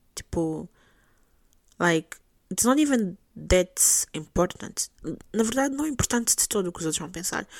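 A woman speaks at a medium pitch and a moderate pace, taking long, frequent pauses. Her pitch swings very widely, and the sound is dry and close with no echo. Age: 20s. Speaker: podcast host. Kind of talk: solo monologue podcast, casual. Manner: code-switching between Portuguese and English.

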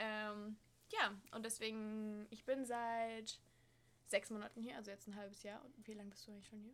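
Her fairly high voice stays monotone and flat at a moderate pace, while her loudness swings widely. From Hesse, Germany (Frankfurt). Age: 20s. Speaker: au pair. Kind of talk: casual chat.

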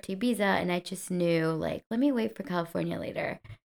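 A woman speaks very fast at a fairly low pitch with ordinary pitch variation. The recording is very clean, with a silent background. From Colombia. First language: Spanish. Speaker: podcast co-host. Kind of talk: casual chat.

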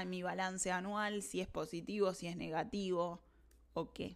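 With a Rioplatense accent, a woman speaks at a fairly slow pace and medium pitch in a monotone, flat intonation. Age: 30s. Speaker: podcast host. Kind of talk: personal monologue. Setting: recording during online class.

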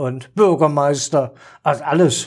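A fairly high-pitched man speaks in an animated tone with lively intonation. The recording is very clean, with a silent background. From Saxony, eastern Germany (Dresden). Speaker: retired stage actor. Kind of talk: casual chat. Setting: studio at a table.

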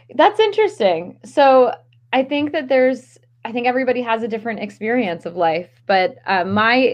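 A woman talks at a moderate pace with an American accent and ordinary pitch variation. It is a plain, everyday voice. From Maryland. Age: young. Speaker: stress management coach. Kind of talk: casual interview.

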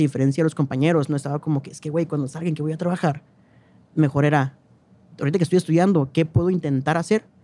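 A man with a dark, mellow tone and fairly high pitch talks at a very fast pace. His intonation stays fairly even while his loudness swings widely. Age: 20s. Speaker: cultural manager and independent publisher. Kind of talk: casual chat.

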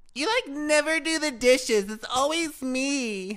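In a put-on character voice, someone speaks at a high pitch and a fairly slow pace. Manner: complaining.

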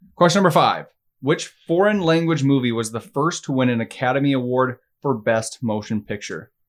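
A man with a plain, everyday voice at medium pitch, moderate pace and lively intonation, on a very clean recording with a silent background. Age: 20s. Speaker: podcast co-host. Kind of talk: quiz hosting; casual chat. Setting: studio.

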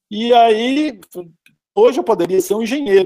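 The man has a dark, mellow tone. His sound is dry and close with no echo. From Brazil, Minas Gerais (Belo Horizonte). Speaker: art professor. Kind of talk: interview.

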